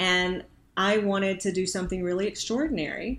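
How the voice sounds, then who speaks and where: In a very clean recording with a silent background, a woman with a slight Southern US accent talks at a fairly quick pace, with fairly low pitch and fairly even intonation. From Arkansas. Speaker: Senate candidate, former attorney. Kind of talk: interview conversation.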